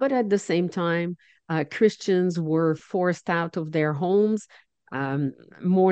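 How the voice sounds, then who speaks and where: With a French Canadian accent, a woman speaks at a fairly low pitch and ordinary pitch variation. The sound is dry and close, with no echo. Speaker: charity national director. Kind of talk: interview.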